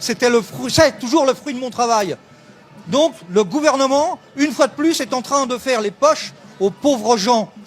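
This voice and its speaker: A man with an extremely high pitch uses an animated tone. He speaks at a fairly slow pace over noticeable background noise. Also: ordinary pitch variation. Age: 60s. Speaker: protester, retiree. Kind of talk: street interview. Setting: outdoors at a street protest.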